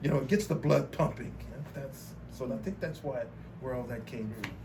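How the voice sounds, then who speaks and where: With an American accent, a man speaks at a medium pitch with vocal fry while the room echo is audible. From Texas, Beaumont. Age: 50s. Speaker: artist. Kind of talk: interview. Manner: halting, with many repetitions.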